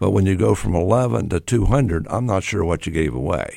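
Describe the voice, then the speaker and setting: A man's very deep, low voice with vocal fry and an American accent, fairly quick, with very wide pitch swings, in a very clean recording with a silent background. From US Midwest, Grove City, Ohio. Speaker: mayor and former banker. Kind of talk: casual interview.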